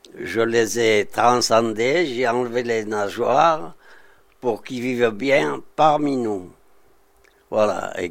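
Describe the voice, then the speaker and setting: A man's medium-pitched voice at a very slow pace. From southern France, Côte d'Azur (Saint-Paul-de-Vence). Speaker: artist, sculptor. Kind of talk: interview testimony. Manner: halting, hesitant.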